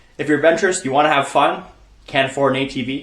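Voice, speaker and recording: A man's voice, fairly high in pitch with ordinary pitch variation, carries audible room echo. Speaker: outdoor hunting vlogger. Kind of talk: casual vlog narration.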